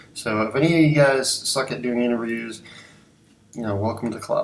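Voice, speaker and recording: With long, frequent pauses, a man speaks at a moderate pace and medium pitch, while audible room echo and noticeable background noise fill the recording. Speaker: graphic designer sharing career advice. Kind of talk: casual talking-head video. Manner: halting, many fillers and restarts.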